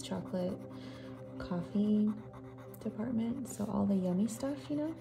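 A soft-spoken woman talks over noticeable background noise. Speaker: ASMR artist. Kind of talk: ASMR storytime.

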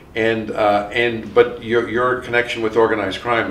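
The speaker is a man. Audible room echo and light background noise are present. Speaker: criminologist interviewer. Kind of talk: oral history interview. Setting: academic conference. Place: home room.

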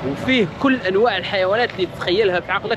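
A man with a high pitch talks at a very fast pace, the sound dry with no echo and noticeable background noise behind him. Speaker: travel vlogger. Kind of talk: casual vlog chat. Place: market. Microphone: phone near.

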